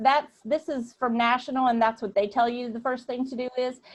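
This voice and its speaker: A woman with an American accent speaks at a moderate pace in a high voice. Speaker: volunteer program trainer. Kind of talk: online training session. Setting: video call.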